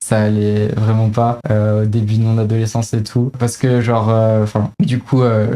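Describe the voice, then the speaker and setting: At a fairly slow pace, a woman speaks in a very deep, low voice with a dark, mellow tone. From France, Isère (near Grenoble). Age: 20s. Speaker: engineering student, association president. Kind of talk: interview. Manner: hesitant, many fillers.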